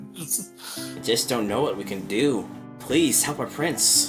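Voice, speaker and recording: In a put-on character voice with very wide pitch swings, the speaker goes at a fairly slow pace while clear music plays in the background. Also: man, medium pitch for a man. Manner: pleading, fairy-tale.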